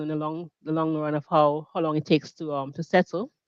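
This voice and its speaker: A woman speaks with a Caribbean accent at a fairly low pitch. The sound is dry and close, with no echo. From Grenada. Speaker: mediator and business founder. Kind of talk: interview. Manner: halting.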